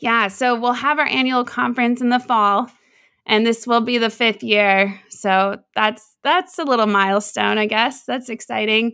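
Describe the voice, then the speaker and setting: Over a silent background in a very clean recording, a woman with an American accent speaks at a fairly slow pace in a bright, sharp tone with very even loudness. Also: ordinary pitch variation. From US Pacific Northwest, Seattle. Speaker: offshore rig worker and nonprofit founder. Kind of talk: interview.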